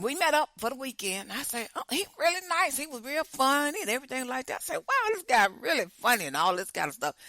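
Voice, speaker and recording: A woman speaks at a high pitch in a bright, sharp tone, her pitch swinging very widely. The recording is very clean with a silent background. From Chicago. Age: 60s. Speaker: podcast host. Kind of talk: casual storytelling. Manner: animated.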